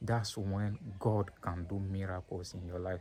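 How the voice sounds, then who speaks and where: With a dark, mellow, somewhat breathy tone, a man speaks fairly slowly at a fairly low pitch. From Nigeria, then French-speaking country. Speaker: vlogger. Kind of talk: personal vlog monologue. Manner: halting, many repetitions and fillers.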